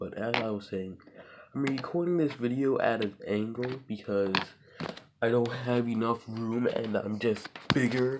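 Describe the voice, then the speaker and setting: Noticeable noise can be heard in the background. The talking goes along fairly slowly. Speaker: toy collector showing Lego builds. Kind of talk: casual show-and-tell video.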